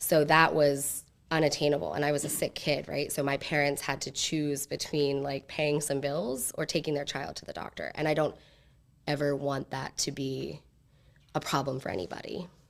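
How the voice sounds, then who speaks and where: Vocal fry at a moderate pace with fairly even intonation, on a very clean recording with a silent background. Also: woman, very deep, low pitch for a woman. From central Pennsylvania. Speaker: direct primary care practitioner and entrepreneur. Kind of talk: pitch Q&A. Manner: halting.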